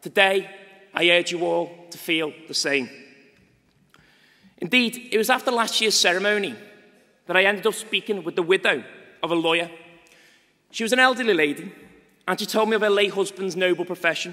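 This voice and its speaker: In a Liverpool accent, a man projects a raised voice at a high pitch. He moves at a fairly quick pace, with long, frequent pauses. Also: ordinary pitch variation. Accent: Liverpudlian. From northern England, Liverpool. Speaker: students' union president. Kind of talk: ceremonial speech. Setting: graduation ceremony hall. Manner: formal.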